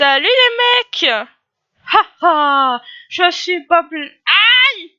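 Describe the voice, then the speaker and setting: A put-on character voice, loud and shouting, extremely high-pitched with very wide pitch swings, at a very slow pace with long, frequent pauses. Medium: read story. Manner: loud, shouting.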